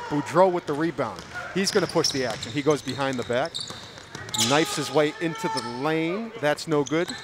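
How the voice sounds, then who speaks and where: Speech moves at a moderate pace and varies in pitch in an ordinary way, with noticeable background noise present. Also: man. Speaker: play-by-play announcer. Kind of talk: live commentary. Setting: high school gym, live stream. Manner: loud; animated.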